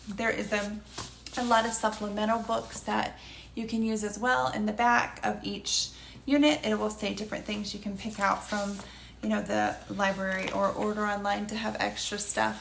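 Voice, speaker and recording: Amid noticeable background noise and audible room echo, a woman talks at a moderate pace and medium pitch with fairly even intonation. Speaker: homeschool curriculum reviewer. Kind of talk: product review. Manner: hesitant, many fillers.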